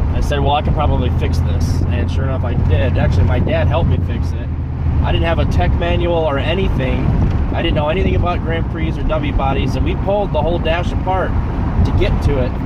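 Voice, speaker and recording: The speech runs at a very fast pace with ordinary pitch variation, in a dry sound with no echo over loud background noise. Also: man. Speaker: car owner vlogger. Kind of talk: casual vlog chat. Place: car. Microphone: phone near.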